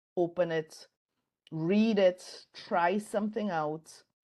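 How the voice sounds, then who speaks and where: A woman speaks with a Caribbean accent. Her pitch variation is ordinary. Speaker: design professor and author. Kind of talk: interview conversation. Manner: conversational with fillers.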